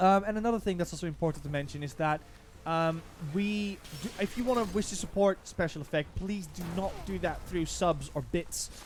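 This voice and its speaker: A man speaks at a fairly quick pace in a high voice. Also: ordinary pitch variation. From Netherlands. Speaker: streamer. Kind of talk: live stream chat. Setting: live stream.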